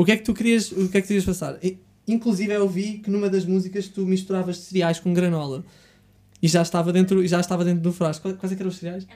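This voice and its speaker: In a European Portuguese accent, a man speaks very fast at a high pitch, his tone dark and mellow and his intonation monotone and flat. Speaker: podcast host. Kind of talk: casual interview chat. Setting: studio.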